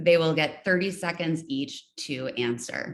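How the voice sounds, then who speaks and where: A woman with a very deep, low pitch. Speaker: forum moderator. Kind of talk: moderated candidate forum. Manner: halting.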